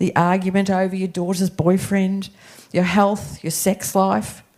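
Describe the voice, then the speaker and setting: In an Australian accent, a woman with a medium pitch speaks in a dark, mellow tone with monotone, flat intonation. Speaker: guest preacher. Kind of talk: sermon. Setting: church.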